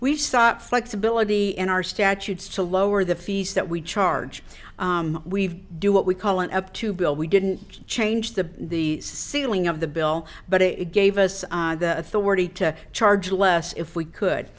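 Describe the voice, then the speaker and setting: A woman with a Midwestern American accent talks at a fairly slow pace and medium pitch, with ordinary pitch variation and hardly any pauses. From Wichita, Kansas. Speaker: state insurance commissioner. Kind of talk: public speech at a club luncheon.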